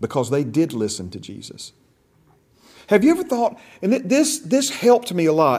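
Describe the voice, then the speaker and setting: A high-pitched man with an animated tone, very wide pitch swings, big swings in loudness, a moderate pace and long, frequent pauses. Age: 50s. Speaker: pastor. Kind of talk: lecture. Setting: classroom.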